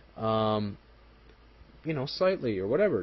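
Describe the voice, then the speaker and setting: The man speaks at a fairly slow pace, somewhat breathy. His intonation is lively. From Montreal, Quebec. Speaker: political commentary video maker. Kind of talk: solo commentary monologue. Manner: halting, many fillers.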